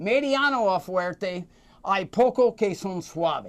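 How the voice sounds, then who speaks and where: Recorded very cleanly against a silent background, a man talks with lively intonation. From United States. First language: English (speaking Spanish). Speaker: cigar expert. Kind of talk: casual interview. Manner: halting, hesitant.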